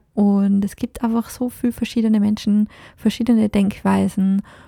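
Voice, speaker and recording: Recorded very cleanly with a silent background and a dry, close sound with no echo, a woman with a fairly high pitch and a dark, mellow, somewhat breathy tone speaks at a fairly slow pace. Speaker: podcast host. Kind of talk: solo podcast monologue. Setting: recording in France.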